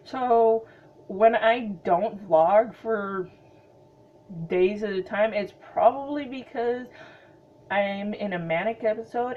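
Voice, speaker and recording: Speaking with an American accent, a woman talks at a very slow pace with a fairly high pitch. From Montana. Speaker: vlogger. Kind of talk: casual chat. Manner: hesitant, many fillers.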